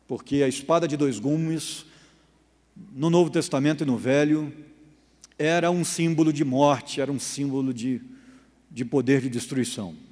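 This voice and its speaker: A man at a fairly high pitch with ordinary pitch variation, long, frequent pauses and audible room echo. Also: moderate pace. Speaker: pastor. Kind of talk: Bible study lecture.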